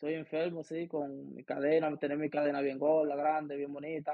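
Moving at a moderate pace, a man talks at a fairly high pitch. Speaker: professional baseball player. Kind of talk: interview.

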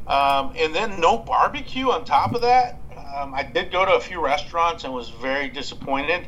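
Through noticeable background noise, a man with a Texan accent talks at a moderate pace at a high pitch, with very wide pitch swings. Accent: Texan American. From West Texas (Abilene). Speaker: barbecue podcast host. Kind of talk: casual interview. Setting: Skype call.

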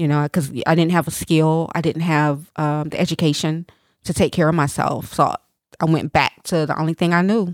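With an American accent, a woman speaks in a very deep, low pitch at a moderate pace, her intonation monotone and flat, in a very clean recording with a silent background and a dry, close sound with no echo. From East Tennessee, US South. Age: 40s. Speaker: entrepreneur and trafficking survivor. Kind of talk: interview, personal testimony.

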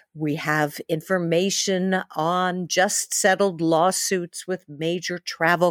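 In a very clean recording with a silent background, a woman with an American accent speaks at a medium pitch with fairly even intonation, in a dry, close sound with no echo. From New York City. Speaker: travel podcast host. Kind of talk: interview podcast.

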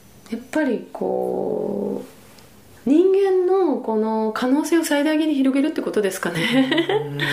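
A very slow, high-pitched female voice with very wide pitch swings, audible room echo and music in the background. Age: 50s. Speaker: birth educator. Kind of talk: interview.

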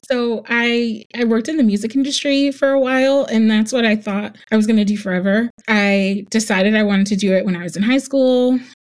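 With an American accent, a normal speaking voice talks at a fairly quick pace with hardly any pauses and ordinary pitch variation. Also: woman, fairly high pitch for a woman. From New Jersey. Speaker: wedding planner. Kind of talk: casual interview chat.

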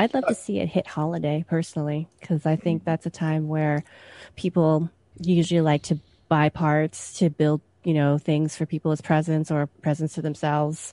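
Against a quiet background, a woman speaks in a very deep, low voice with a dark, mellow tone and a dry, close sound with no echo. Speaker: tech journalist. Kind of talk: casual chat.

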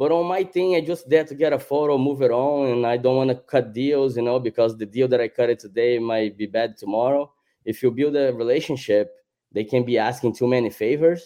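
Speaking at a fairly quick pace, a man with a Brazilian accent holds a medium pitch with ordinary pitch variation. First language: Portuguese. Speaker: celebrity photographer. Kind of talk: casual podcast interview.

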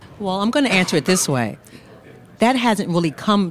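This woman's intonation is lively. Noticeable background noise accompanies her. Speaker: appellate judge.

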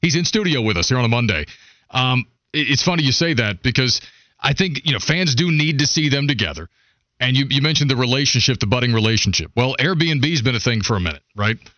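A man talks at a very fast pace and medium pitch with lively intonation. His voice carries vocal fry and very even loudness. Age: 30s. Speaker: sports radio host. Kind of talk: casual chat. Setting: studio.

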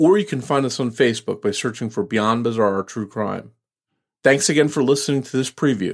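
Using an ordinary speaking voice, a man talks at medium pitch and a fairly quick pace with lively intonation. The recording is very clean, with a silent background. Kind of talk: podcast promo.

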